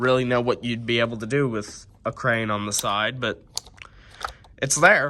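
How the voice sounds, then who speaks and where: With fairly even intonation and a moderate pace, a man talks while noticeable background noise runs underneath. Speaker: toy reviewer. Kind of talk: casual toy review to camera.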